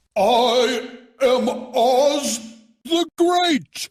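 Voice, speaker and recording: The put-on character voice is high in pitch. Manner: timid, pleading.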